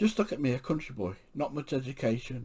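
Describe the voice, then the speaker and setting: Somewhat breathy and dark, mellow in tone, this voice moves at a moderate pace. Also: man. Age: 60s. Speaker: podcaster with chronic illness. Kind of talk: reading aloud.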